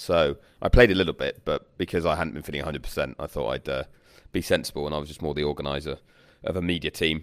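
Raspy and extremely low in pitch, a man speaks at a fast pace with fairly even intonation on a very clean recording with a silent background.

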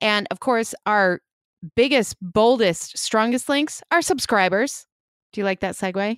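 With a Chicago accent, a woman talks at a fairly slow pace in a fairly high voice with ordinary pitch variation, the sound dry and close with no echo on a very clean recording with a silent background. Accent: Chicago Midwestern American. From Chicago, US Midwest. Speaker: podcast co-host. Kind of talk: casual interview.

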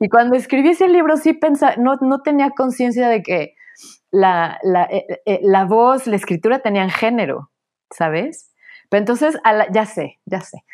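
A woman speaks at a fairly slow pace in a high pitch, with very wide pitch swings. The recording is very clean, with a silent background. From Mexico, Puebla. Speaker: author and academic. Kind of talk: interview. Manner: halting, frequent repetitions.

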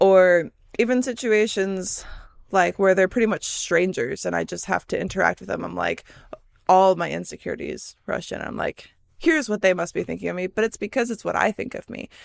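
In a very clean recording with a silent background and a dry, close sound with no echo, a woman with a Midwestern American accent talks at a fairly quick pace with big swings in loudness. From US Midwest. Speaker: podcast host. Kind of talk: solo casual monologue. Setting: solo recording on camera. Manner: stumbling over words.

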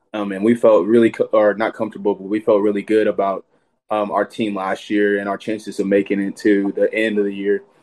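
A man with a Texan accent speaks fairly quickly in a fairly low, monotone, flat voice, the sound dry and close with no echo. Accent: Texan American. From Texas (Sherman, north Texas). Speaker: college football player. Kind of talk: casual interview.

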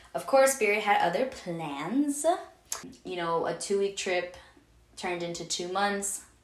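A woman speaks at a fairly slow pace with long, frequent pauses. Her medium-pitched voice has lively intonation against noticeable background noise. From Venezuela. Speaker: podcast host. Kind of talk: solo casual monologue.

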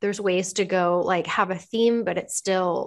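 Before a quiet background, a woman with an American accent talks at a medium pitch and moderate pace. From Southern California (Anaheim). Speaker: interior designer. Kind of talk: casual interview chat.

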